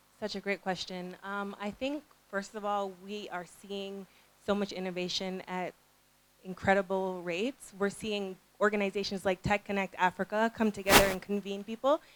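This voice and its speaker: With a Canadian accent, a woman speaks in a plain, everyday voice at medium pitch and a moderate pace, her intonation fairly even, in a dry, close sound with no echo. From Canada. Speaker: early stage investor. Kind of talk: panel discussion.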